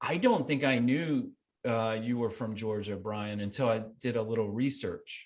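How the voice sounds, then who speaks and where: Speaking at a moderate pace, a man has a plain, everyday voice at a medium pitch with ordinary pitch variation. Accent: American. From US South, Columbia, South Carolina. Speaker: filmmaker. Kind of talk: interview.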